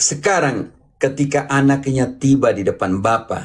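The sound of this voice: A man's medium-pitched voice with ordinary pitch variation.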